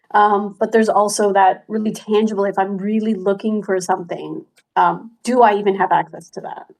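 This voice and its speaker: Her intonation is monotone and flat as this woman speaks at a medium pitch. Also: fairly quick pace. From Cantonese-speaking region, immigrated as a child. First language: Cantonese. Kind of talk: casual chat.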